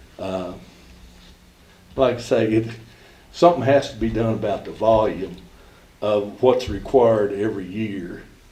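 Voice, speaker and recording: In a room with audible echo, a man with a fairly low pitch, a dark, mellow tone and a somewhat breathy voice speaks at a moderate pace with ordinary pitch variation and long, frequent pauses. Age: 70s. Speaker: golf coach. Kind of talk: public comment at board meeting. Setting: school board meeting.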